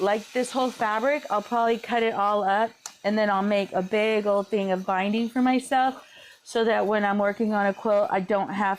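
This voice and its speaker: A woman speaks at medium pitch and a moderate pace, her intonation fairly even. Noticeable background noise can be heard. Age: 50s. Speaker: quilter. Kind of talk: live stream tutorial chat. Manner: casual, chatty.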